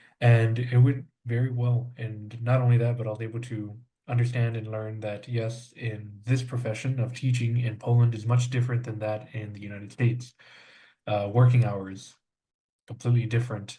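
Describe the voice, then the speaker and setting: In a room with audible echo, a man speaks at a moderate pace and medium pitch, his dark, mellow tone rising and falling sharply in loudness. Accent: American. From South Texas. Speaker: language student, English teacher. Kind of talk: podcast interview. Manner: many filler words, hesitant.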